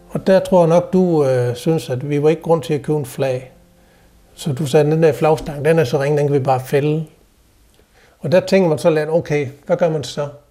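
A man with a fairly high pitch speaks at a moderate pace, somewhat breathy. His tone is dark and mellow, his intonation fairly even. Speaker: guest's husband. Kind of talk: casual conversation.

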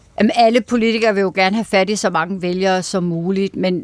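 Heard on a very clean recording with a silent background, a woman with an unremarkable speaking voice talks at medium pitch with fairly even intonation. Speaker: political correspondent. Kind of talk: radio interview.

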